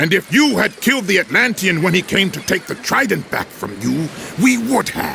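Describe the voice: A man puts on a character voice, high in pitch with big swings and a bright, sharp tone. Vocal fry runs through it at a moderate pace, with faint background noise.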